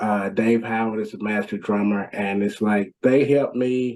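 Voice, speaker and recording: A man with an American accent talks at a fairly slow pace, his pitch fairly low and his intonation fairly even, in an ordinary speaking voice. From Nashville, Tennessee, US South. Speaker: rap metal band vocalist. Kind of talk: interview.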